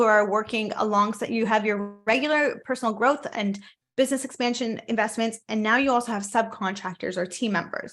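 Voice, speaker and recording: A woman speaks at a fairly quick pace with hardly any pauses. Her fairly high voice shows ordinary pitch variation. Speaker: business coach. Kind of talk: online coaching talk.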